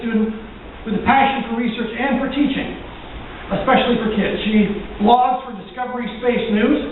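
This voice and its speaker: Noticeable background noise behind fairly quick talking. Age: middle-aged. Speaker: event host. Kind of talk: speaker introduction.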